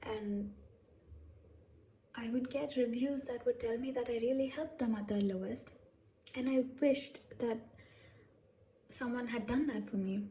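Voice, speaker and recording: Pausing long and often, a woman with a high pitch speaks at a moderate pace with fairly even intonation over noticeable background noise. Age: adult, over 21. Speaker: tarot reader. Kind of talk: casual talk to camera.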